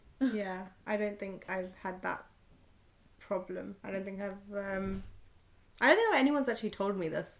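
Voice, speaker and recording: A woman with a British accent speaks at a medium pitch and a moderate pace, taking long, frequent pauses. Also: ordinary pitch variation. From born in India, raised in UK. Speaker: podcast co-host. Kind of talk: casual chat.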